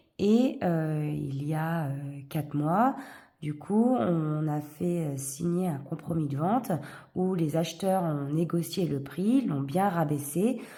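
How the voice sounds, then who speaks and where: Very deep and low in pitch, a woman speaks very slowly with lively intonation and a somewhat breathy sound, with audible room echo. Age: 40s. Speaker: vlogger, single parent. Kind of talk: casual chat, budgeting tutorial. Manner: hesitant, many fillers.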